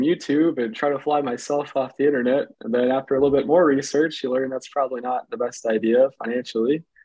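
The speaker has a plain, everyday voice with an American accent. Delivery comes at a fairly quick pace with fairly even intonation. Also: man. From Michigan. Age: 20s. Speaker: paramotor pilot. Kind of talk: casual chat.

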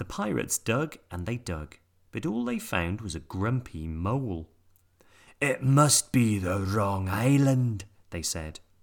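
A man with an unremarkable speaking voice talks at a fairly slow pace, his fairly low pitch carried by lively intonation, on a very clean recording with a silent background. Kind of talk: children's fairy-tale narration, storybook reading aloud with character voices.

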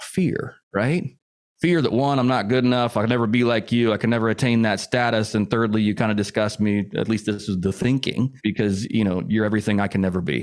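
This man has an unremarkable speaking voice, fairly low in pitch, with ordinary pitch variation, very even loudness and a fairly quick pace. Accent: American. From US Midwest, Indianapolis, Indiana. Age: 40s. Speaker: real estate investor. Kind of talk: casual interview.

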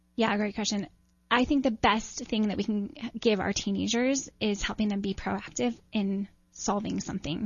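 A woman with an American accent speaks at a moderate pace in a somewhat breathy, medium-pitched voice with ordinary pitch variation. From upstate New York. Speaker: author and mothers' advocate. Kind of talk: interview.

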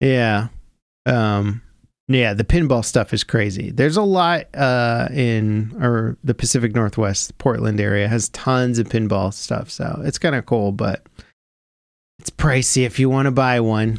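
A man with a plain, everyday voice, medium pitch, ordinary pitch variation and a fairly slow pace. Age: 30s. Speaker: gaming podcast host. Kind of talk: casual chat. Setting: home studio.

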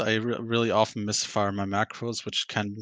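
The speaker, with a German accent, talks at a moderate pace with fairly even intonation. The sound is dry and close with no echo, over a quiet background. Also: man. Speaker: podcast guest, gamer. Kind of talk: casual chat.

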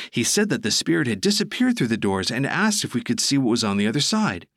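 At a very fast pace, a man talks on a very clean recording with a silent background. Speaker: podcast co-host. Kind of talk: ghost story telling, spooky tale told as a first-person account.

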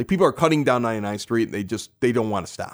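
In a Chicago accent, a man talks in an animated tone with very wide pitch swings. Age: 40s. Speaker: podcast host. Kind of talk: casual chat. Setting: basement bar.

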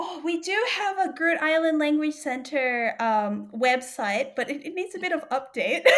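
Over noticeable background noise, a woman with an Australian accent speaks in a high voice with lively intonation. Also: moderate pace. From Australia, New South Wales. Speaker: linguist. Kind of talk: casual interview chat. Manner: animated.

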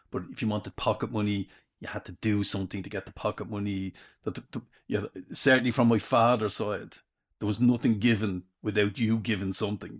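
Recorded very cleanly against a silent background with a dry, close sound and no echo, a man with a Dublin accent speaks fairly quickly at a fairly low pitch with fairly even intonation. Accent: Dublin Irish. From Dublin, Ireland (inner city). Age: 60s. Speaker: retired father, former stay-at-home dad. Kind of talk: casual chat. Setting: sitting with a microphone, first recording. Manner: halting, repeats words.

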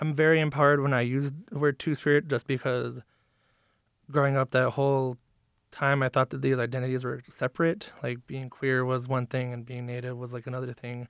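A man with an American accent speaks at medium pitch and a fairly quick pace. His intonation is monotone and flat, and the sound is dry and close with no echo. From northern Wisconsin, US Midwest. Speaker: visual artist. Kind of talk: casual interview. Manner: casual, hesitant with fillers.

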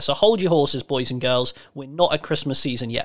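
A man with an English accent speaks at a fairly quick pace, his fairly high pitch showing ordinary variation. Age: 30s. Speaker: wrestling podcast host, broadcaster. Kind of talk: casual chat.

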